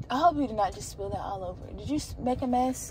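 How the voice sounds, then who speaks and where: A woman speaks amid noticeable background noise. Room echo is audible too. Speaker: vlogger / mother. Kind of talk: casual vlog narration. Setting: handheld camera, on the go. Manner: casual, chatty.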